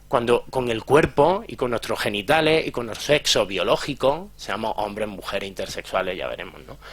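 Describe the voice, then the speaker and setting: Lively intonation and big swings in loudness from a man at a medium pitch, at a moderate pace with hardly any pauses. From Andalusia, Jaén and Granada. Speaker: psychologist and sex educator. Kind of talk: conference talk. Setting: lecture hall with audience. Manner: clipped, drops word endings.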